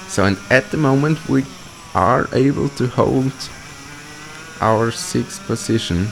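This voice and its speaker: A man's medium-pitched voice with a non-native accent, very wide pitch swings, very even loudness, a very slow pace, long and frequent pauses, and noticeable background noise. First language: not English. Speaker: kart racer. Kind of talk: live commentary over onboard footage. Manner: hesitant, many fillers.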